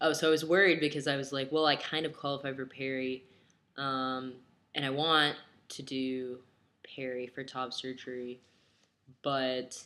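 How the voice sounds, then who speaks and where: Bright and sharp in tone, a man's voice holds a monotone, flat intonation. Long, frequent pauses break up his speech. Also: medium pitch for a man, moderate pace, very clean recording, silent background. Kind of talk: casual talk to camera.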